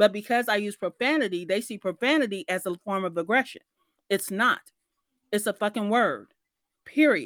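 A woman speaks at a moderate pace and a medium pitch, with lively intonation and an animated tone. She takes long, frequent pauses, and the sound is dry and close with no echo. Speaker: author and personal branding coach. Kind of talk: live audio room discussion. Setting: live online audio room. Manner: animated, profane and informal.

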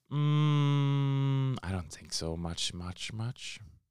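Very wide pitch swings from a man with a non-native accent, on a very clean recording with a silent background. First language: not English. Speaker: podcast host, father. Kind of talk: solo Q&A podcast.

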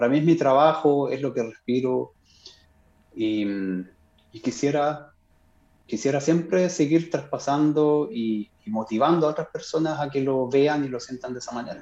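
Fairly slow speech in a dark, mellow tone, with long, frequent pauses, ordinary pitch variation, big swings in loudness and a quiet background. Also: man, fairly high pitch for a man. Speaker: classical guitarist. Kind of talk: casual interview. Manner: halting, many repetitions.

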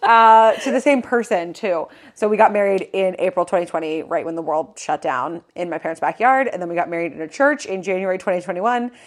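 On a very clean recording with a silent background, a woman with an unremarkable speaking voice talks at a fairly quick pace with hardly any pauses, medium in pitch and lively in intonation. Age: 20s. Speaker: podcast co-host, fashion content creator. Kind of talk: casual chat.

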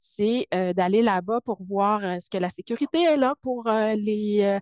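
A woman with a fairly high voice and ordinary pitch variation speaks at a very slow pace, the sound dry and close with no echo over a quiet background. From Quebec, Saguenay–Lac-Saint-Jean (Alma). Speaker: biochemist and project leader. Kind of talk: interview. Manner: calm.

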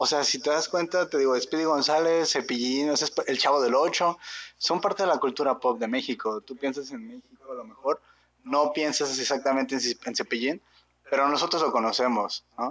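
Moderate pace with ordinary pitch variation. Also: man, fairly high pitch for a man. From Mexico. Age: 20s. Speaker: podcast co-host. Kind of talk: casual chat.

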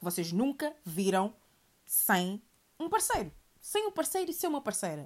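A woman's animated voice with a European Portuguese accent and very wide pitch swings. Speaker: podcast host. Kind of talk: solo monologue podcast. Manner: animated, repetitive.

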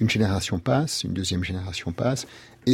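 Ordinary pitch variation in a man's somewhat breathy voice. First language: English (speaking French). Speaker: lawyer and writer. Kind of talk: interview. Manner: halting.

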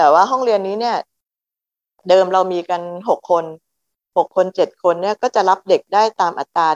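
An unremarkable speaking voice, with ordinary pitch variation, comes across dry and close with no echo. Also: woman. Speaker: retired teacher, foundation founder. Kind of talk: interview.

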